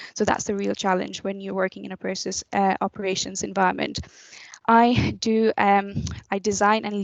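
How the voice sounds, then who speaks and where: Intonation here is monotone and flat at a moderate pace. The sound is dry and close, without echo. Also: woman. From Nepal. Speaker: chemical engineer. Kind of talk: careers talk presentation. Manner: hesitant, with fillers.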